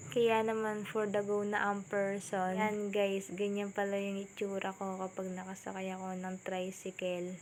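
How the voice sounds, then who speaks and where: A woman's medium-pitched, monotone, flat delivery at a fairly slow pace with hardly any pauses. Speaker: student vlogger. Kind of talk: vlog narration. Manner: soft-spoken.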